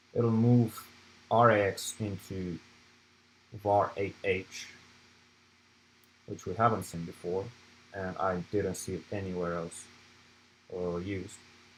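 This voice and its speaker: Speaking very slowly with long, frequent pauses, a man with a non-native accent keeps a fairly low pitch and fairly even intonation. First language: not English. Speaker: student club presenter. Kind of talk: lecture. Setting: live stream. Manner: halting.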